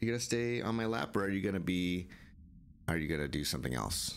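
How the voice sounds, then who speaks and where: A man races along at a very fast pace with very wide pitch swings, light background noise behind him. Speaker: gaming streamer. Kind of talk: live gameplay commentary; casual gameplay commentary. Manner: casual, rambling with repetitions. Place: home room.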